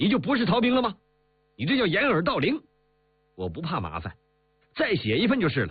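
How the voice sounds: Using a put-on character voice with a husky, rough edge, a man speaks at a fairly quick pace, pitched high with very wide pitch swings.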